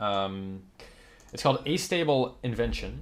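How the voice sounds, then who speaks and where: A man mumbles his words. His voice carries vocal fry. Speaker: gaming YouTuber. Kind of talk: game guide commentary. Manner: mumbling.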